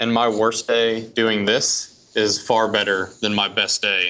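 Medium in pitch with fairly even intonation, a man talks in a plain, everyday voice. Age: 30s. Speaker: lettering artist and art director. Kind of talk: casual interview.

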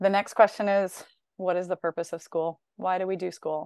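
In an American accent, a woman with an unremarkable speaking voice talks at a medium pitch and a fairly quick pace, recorded with a dry, close sound, no echo and a quiet background. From US Midwest, Northern Illinois. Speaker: educator and education consultant. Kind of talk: casual interview conversation.

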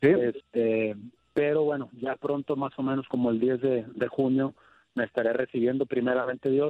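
This man talks at a moderate pace in a medium pitch. His intonation is monotone and flat. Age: 30s. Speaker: retiring football goalkeeper. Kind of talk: interview. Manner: halting.

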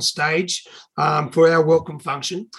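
This man has an Australian accent and a high pitch. His intonation is fairly even. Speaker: triathlon announcer. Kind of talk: anecdote. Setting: video call.

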